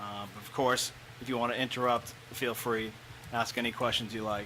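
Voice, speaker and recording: Against noticeable background noise, a man speaks at a fairly quick pace with monotone, flat intonation and big swings in loudness. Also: medium pitch for a man. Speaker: school facilities director. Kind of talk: presentation.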